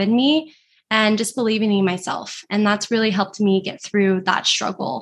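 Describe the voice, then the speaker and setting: A woman with an unremarkable speaking voice and a fairly high pitch speaks at a moderate pace with ordinary pitch variation against a quiet background. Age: 20s. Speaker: social media manager and entrepreneur. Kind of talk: interview.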